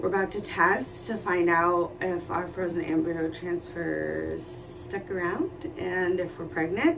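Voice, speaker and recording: A woman speaks at a fairly slow pace over noticeable background noise. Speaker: vlogger. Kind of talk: casual vlog chat. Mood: excited, nervous. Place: kitchen.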